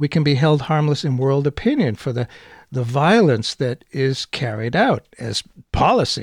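A man talks at a moderate pace in a plain, everyday voice, pitched fairly high. The sound is dry and close, with no echo. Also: lively intonation. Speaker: radio host. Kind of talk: interview.

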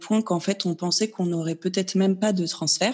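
This woman's voice sits at a medium pitch, with a dark, mellow tone and ordinary pitch variation. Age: 30s. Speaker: naturopath sharing her fertility journey. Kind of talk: interview testimony.

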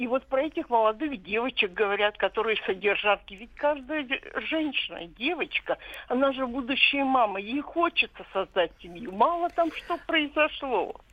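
At a moderate pace, a woman speaks in a high pitch with very wide pitch swings and big swings in loudness. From Yaroslavl, Russia. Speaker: caller. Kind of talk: phone-in opinion. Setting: phone call.

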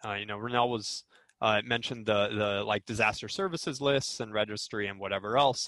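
A man with an ordinary speaking voice talks at a fairly quick pace, his fairly low pitch held in fairly even intonation. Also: quiet background. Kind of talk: panel discussion.

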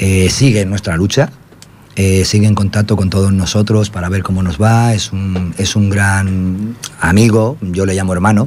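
A man's fairly low-pitched voice, fairly slow and fairly even in intonation, over noticeable background noise. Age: 50s. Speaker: community radio host for an unemployed workers' association. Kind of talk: casual chat.

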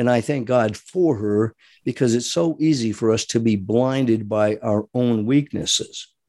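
The tone is dark and mellow, with an American accent. Delivery comes at a fairly slow pace. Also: man. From US Northeast, Rhode Island. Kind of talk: monologue sermon-style commentary.

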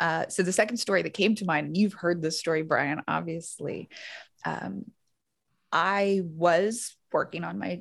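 On a very clean recording with a silent background, a woman speaks at a fairly low pitch and moderate pace, with vocal fry and ordinary pitch variation. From Louisiana, Baton Rouge. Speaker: public health doctor and nonprofit director. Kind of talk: casual chat.

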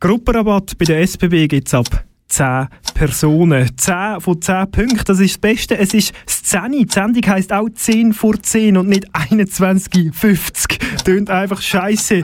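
A man's high-pitched voice at a very slow pace, very even in loudness, with ordinary pitch variation. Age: 40s. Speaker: radio host. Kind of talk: casual chat. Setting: studio.

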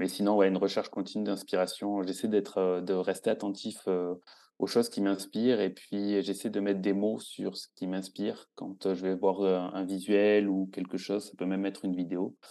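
Over a quiet background, a man with a fairly low pitch and a dark, mellow tone speaks in monotone, flat intonation. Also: moderate pace. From southern France. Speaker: food photographer and cookbook author. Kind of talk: casual interview.

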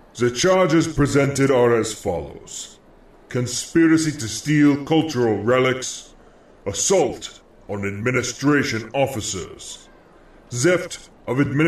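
Putting on a booming character voice, a man speaks at a medium pitch and a fairly slow pace. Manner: authoritative, formal.

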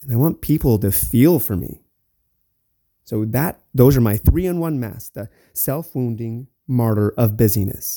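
Speaking fairly slowly with lively intonation, a man with a medium-pitched voice and a dark, mellow tone is heard in a dry, close sound with no echo. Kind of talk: solo podcast monologue. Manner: stutters and stumbles.

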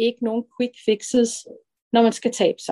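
A woman speaks at a fairly slow pace, captured with a dry, close sound and no echo. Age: 50s. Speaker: early retiree sharing weight-loss story. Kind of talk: personal testimony interview. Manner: halting, many fillers.

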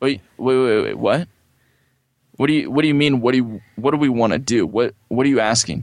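A man with an American accent has an unremarkable speaking voice. His pitch is medium, with ordinary pitch variation. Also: fairly quick pace. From California. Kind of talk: interview.

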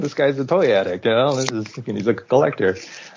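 Noticeable background noise sits behind the voice. The man talks at a fairly quick pace. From Hawaii. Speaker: animator. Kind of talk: casual interview.

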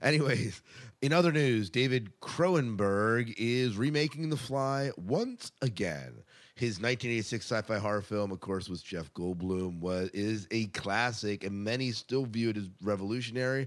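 A man's plain, everyday voice, medium in pitch and fairly slow, in a very clean recording with a silent background. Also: lively intonation. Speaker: podcast host. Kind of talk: casual podcast banter and news discussion.

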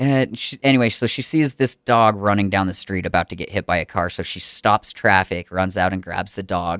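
In a very clean recording with a silent background and a dry, close sound with no echo, a man speaks at a moderate pace with fairly low pitch, ordinary pitch variation and a plain, everyday voice. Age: 30s. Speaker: podcast host and comedy show organizer. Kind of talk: casual chat. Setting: studio.

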